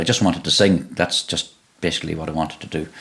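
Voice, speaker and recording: Here is a man with a Donegal accent. His very deep, low pitch moves with ordinary variation. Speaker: singer and guitarist. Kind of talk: casual interview chat. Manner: halting, many repetitions.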